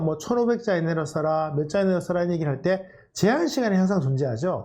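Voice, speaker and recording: Very fast and lively in intonation, a man speaks at a high pitch with a dark, mellow tone amid audible room echo. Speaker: career coach lecturer. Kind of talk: lecture.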